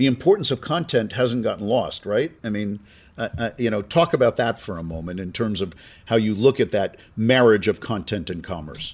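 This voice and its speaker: A man with a New York accent, medium-pitched, lively in intonation, at a moderate pace, on a very clean recording with a silent background. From US, New York (Brooklyn). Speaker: podcast host, marketing executive. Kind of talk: interview conversation. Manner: repetitive, hesitant.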